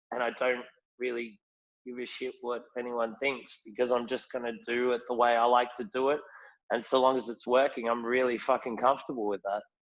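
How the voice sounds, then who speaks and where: With a strong Australian accent, a man speaks at a medium pitch in a monotone, flat intonation. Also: fairly quick pace. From rural Australia. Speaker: whisky ambassador. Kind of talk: casual chat.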